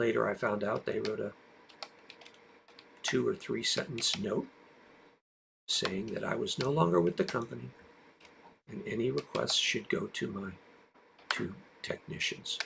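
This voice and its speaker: A man's voice at a moderate pace, broken by long, frequent pauses. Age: 60s. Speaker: streamer. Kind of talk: live stream monologue. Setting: live stream.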